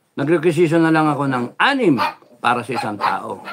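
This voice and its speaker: A man speaks over noticeable background noise. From Philippines. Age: old. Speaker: vlogger. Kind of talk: livestream monologue. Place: home room. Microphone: phone near.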